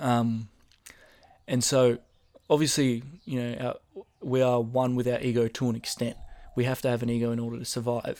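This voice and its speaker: A man with an Australian accent speaks at a medium pitch in a monotone, flat intonation. He leaves long, frequent pauses. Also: moderate pace. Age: 20s. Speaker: rapper and podcast host. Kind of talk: solo casual monologue. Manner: casual, with many filler ums.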